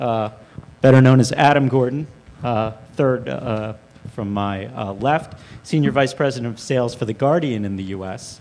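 A man talks at a moderate speed, his pitch varying in an ordinary way, with light noise in the background. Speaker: panel moderator. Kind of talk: panel introduction. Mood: light, joking. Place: hall. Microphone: handheld.

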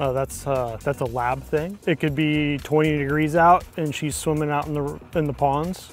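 A man's moderately paced, fairly even delivery, dry with no echo, faint music in the background. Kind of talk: interview answer. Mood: proud, warm about his dog. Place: open country. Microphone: lapel.

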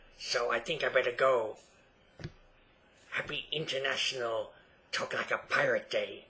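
Using a put-on character voice, a man moves at a moderate pace, broken by long, frequent pauses. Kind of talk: comedic improv talk to camera. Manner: playful, exaggerated.

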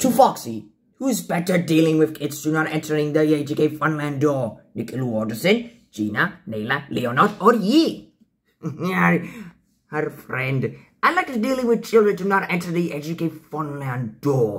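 This man puts on a character voice pitched fairly high. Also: moderate pace. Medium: role play. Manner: upbeat, playful.

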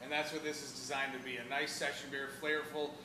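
Amid audible room echo, a man talks at a fast pace and medium pitch, with little pitch movement.

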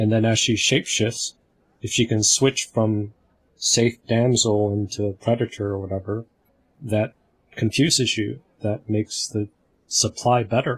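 A man speaks at a fairly slow pace, leaving long, frequent pauses. His voice is somewhat breathy and his intonation fairly even. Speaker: community discussion facilitator. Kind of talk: group discussion on video call. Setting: video call.

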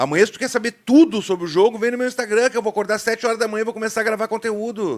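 Against a quiet background, a man with a high pitch speaks at a very fast pace with hardly any pauses, an animated tone and ordinary pitch variation. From Rio Grande do Sul, Brazil. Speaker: football YouTuber, Internacional fan; football YouTuber. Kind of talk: live stream chat with viewers. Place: studio. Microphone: studio mic.

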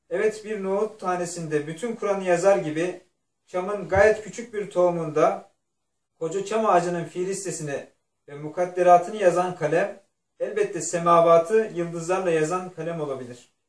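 This man's voice is high-pitched and his intonation fairly even. He keeps a moderate pace, and audible room echo surrounds him. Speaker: religious text reader. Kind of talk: reading aloud from a religious text. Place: home room. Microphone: camera far.

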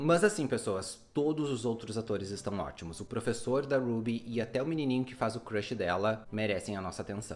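A man talks at a fairly quick pace with hardly any pauses. His pitch variation is ordinary. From Brazil. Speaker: YouTube film reviewer. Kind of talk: film review monologue. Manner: animated. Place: home room.

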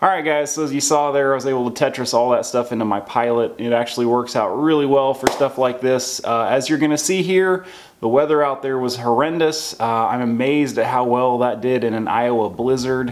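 At a fairly quick pace, a man talks, his pitch varying in an ordinary way. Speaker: vlogger. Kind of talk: casual vlog chat. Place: garage.

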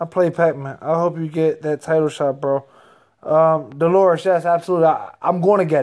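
A high-pitched man with an American accent at a moderate pace, against a quiet background. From Reading, Pennsylvania; Pennsylvania. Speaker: professional heavyweight boxer. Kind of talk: casual chat. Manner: animated. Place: home room. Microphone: phone near.

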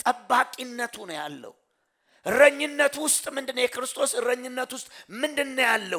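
Against a quiet background, a man uses a raised, projected, extremely high-pitched voice with a bright, sharp tone, ordinary pitch variation and big swings in loudness. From Ethiopia. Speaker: pastor. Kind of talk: sermon. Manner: call-and-response questioning. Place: church. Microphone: headset.

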